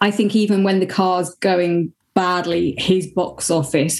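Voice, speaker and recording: A woman speaks at a medium pitch and a fairly slow pace, somewhat breathy. The recording is very clean, with a silent background. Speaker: motorsport presenter and commentator. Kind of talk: casual chat.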